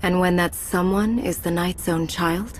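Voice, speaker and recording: Against clear background noise, a woman speaks in a put-on character voice at a medium pitch and a moderate pace. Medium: video game. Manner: calm, steady.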